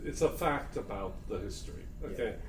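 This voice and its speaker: Noticeable background noise and audible room echo fill the recording. The speaker is a man with an American accent. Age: 60s. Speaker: spiritual talk host. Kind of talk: casual conversation. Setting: recorded talk in Myrtle Beach.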